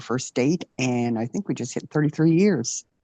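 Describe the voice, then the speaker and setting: In a dry, close sound with no echo and a quiet background, a woman with a Newfoundland accent speaks in a very deep, low voice with a dark, mellow tone. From Newfoundland, Canada. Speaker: retired military aircraft technician. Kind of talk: interview testimony. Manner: hesitant, many fillers.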